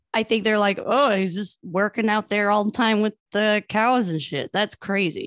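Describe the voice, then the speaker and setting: A woman speaks in a normal speaking voice, pitched fairly high, at a moderate pace with fairly even intonation. There are hardly any pauses, and the sound is dry and close with no echo against a quiet background. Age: 30s. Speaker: podcast co-host. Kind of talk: casual chat.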